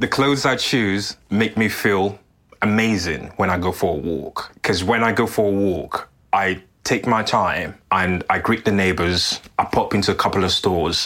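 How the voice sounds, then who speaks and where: Noticeable background noise sits behind a man with a fairly low pitch and ordinary pitch variation. He keeps a moderate pace and a very even loudness. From Sierra Leone. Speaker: menswear creator and podcast host. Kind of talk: lifestyle vlog narration.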